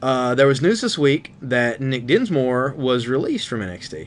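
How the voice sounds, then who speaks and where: Over noticeable background noise, a man at a medium pitch speaks with a Southern US accent. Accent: southern twang. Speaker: wrestling podcast co-host. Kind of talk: casual chat.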